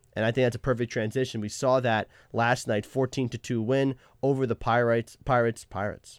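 Recorded very cleanly against a silent background, the dry, close sound has no echo and the speech moves at a fairly quick pace. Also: man. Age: 20s. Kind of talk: casual chat. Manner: animated.

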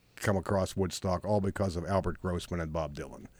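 This man has a very deep, low voice and an American accent. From Pittsburgh, Pennsylvania. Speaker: rock and roll tour guide. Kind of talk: interview.

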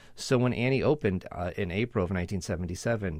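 A man rattles off his words very fast, captured on a very clean recording with a silent background. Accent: American. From Connecticut. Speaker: animal trainer. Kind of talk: interview. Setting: studio. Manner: halting.

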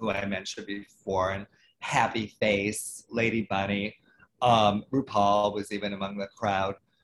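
At a fairly slow pace, a man with an American accent uses a normal speaking voice at a fairly low pitch. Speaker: photographer and drag historian. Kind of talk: interview.

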